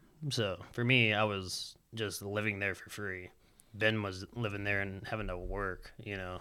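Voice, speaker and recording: A man's fairly low, bright, sharp voice at a fairly slow pace, with monotone, flat intonation and big swings in loudness. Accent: Southern US. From Alabama (Huntsville). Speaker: professional skateboarder. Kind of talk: casual chat.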